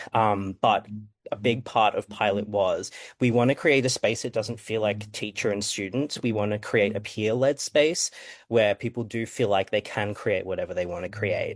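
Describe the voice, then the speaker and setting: With an Australian accent, a man speaks at a moderate pace and a fairly low pitch. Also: fairly even intonation, dry, close sound with no echo, quiet background. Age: 20s. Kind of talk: panel discussion. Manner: hesitant, many fillers.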